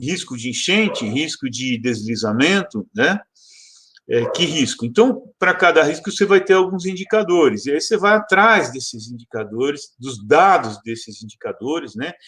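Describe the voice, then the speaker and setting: His pitch is high and swings very widely as the man talks at a moderate pace. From Brazil, São Paulo. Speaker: geography professor. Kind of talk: lecture. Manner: hesitant, many fillers.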